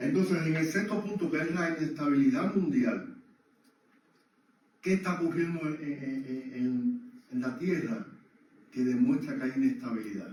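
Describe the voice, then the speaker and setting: In a room with audible echo, a man talks at a fairly slow pace with long, frequent pauses, his high pitch making very wide swings. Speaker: lay preacher. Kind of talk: church teaching.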